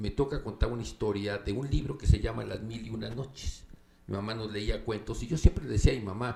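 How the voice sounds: The clip features a natural reading voice.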